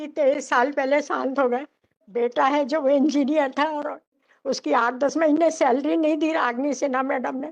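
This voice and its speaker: Her pitch high, a woman speaks with fairly even intonation. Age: 60s. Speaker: petitioner in court. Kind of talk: testimony. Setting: courtroom.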